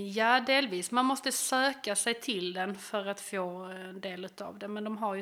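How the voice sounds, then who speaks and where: The woman's voice has a bright, sharp tone. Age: 30s. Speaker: teacher and bereaved mother. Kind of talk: personal testimony interview.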